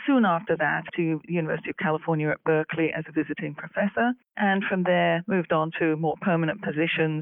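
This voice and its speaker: A woman speaks very fast in a British accent, with hardly any pauses. Her pitch is fairly low, with ordinary variation. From England, London. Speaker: university president and AI commissioner. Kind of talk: interview.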